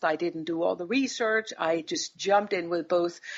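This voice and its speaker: A woman with a Danish accent speaks at a fairly low pitch with ordinary pitch variation. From Denmark. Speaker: business executive. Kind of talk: interview. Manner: hesitant, with fillers.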